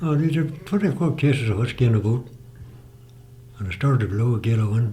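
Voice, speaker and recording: With a Northern Irish accent, a man talks at a very fast pace with long, frequent pauses, using lively intonation in a medium-pitched, dark, mellow, somewhat breathy voice. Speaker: retired fisherman. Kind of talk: oral history interview answer.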